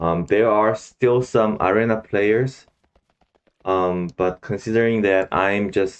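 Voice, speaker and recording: Very slow speech from a man with a Korean accent and a fairly low pitch. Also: fairly even intonation. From South Korea. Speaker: gaming streamer. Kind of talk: gameplay commentary. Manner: halting, with many fillers.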